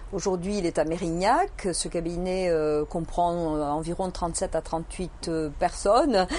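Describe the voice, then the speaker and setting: Speaking at a very slow pace, a woman uses a fairly low pitch in a Toulouse accent. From southern France, Toulouse. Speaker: accountant and business owner. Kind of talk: interview. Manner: hesitant, many fillers.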